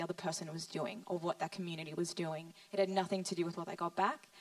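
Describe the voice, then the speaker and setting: A woman with an Australian accent at a medium pitch, very fast pace and fairly even intonation, over noticeable background noise. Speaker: young mother, pastor's daughter-in-law. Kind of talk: panel testimony in church service.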